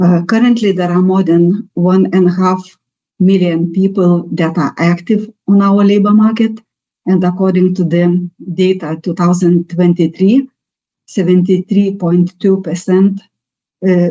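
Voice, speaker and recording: A woman talks at a fairly slow pace with a Lithuanian accent, her medium pitch held in a monotone, flat intonation. Her tone is dark and mellow, and her loudness stays very even. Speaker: national labour market representative. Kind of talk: presentation. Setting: webinar. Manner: halting.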